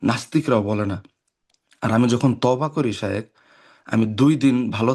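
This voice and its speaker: A man's medium-pitched voice with ordinary pitch variation against a quiet background. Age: 20s. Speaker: caller. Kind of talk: call-in question. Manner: halting.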